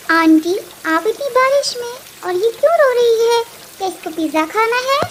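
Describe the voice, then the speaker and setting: A woman's cartoonish character voice at an extremely high pitch, with very wide pitch swings, a moderate pace, and clear background noise. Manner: earnest, determined.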